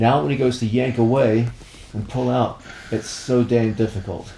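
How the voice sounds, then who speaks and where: This is a man with an ordinary speaking voice. His pitch is medium and his pace moderate. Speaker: grappling instructor. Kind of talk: instructional video.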